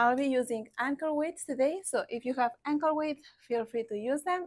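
A woman's high-pitched voice with ordinary pitch variation, against a quiet background. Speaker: fitness instructor. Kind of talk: workout instruction. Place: garden.

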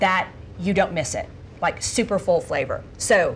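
A woman speaks at a fairly slow pace with lively intonation, somewhat breathy. Light background noise is present. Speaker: cooking show host. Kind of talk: cooking show conversation. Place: kitchen.

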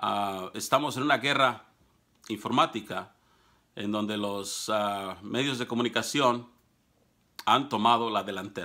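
Against a quiet background, a man with a Mexican accent speaks at a fairly slow pace and a medium pitch, with a bright, sharp tone, fairly even intonation and long, frequent pauses. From Mexico. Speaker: political commentator. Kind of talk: monologue to camera. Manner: hesitant, many fillers. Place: office. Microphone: phone near.

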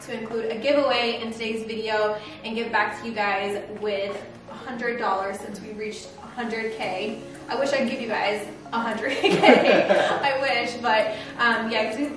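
Clear music plays in the background as a woman talks at a moderate pace with fairly even intonation, with audible room echo. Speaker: home renovation vlogger. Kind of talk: casual vlog chat. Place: kitchen.

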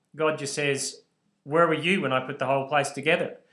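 At a moderate pace, a man with an Australian accent speaks at a fairly high pitch against a quiet background. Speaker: bible teacher. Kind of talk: lecture. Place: home room. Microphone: webcam.

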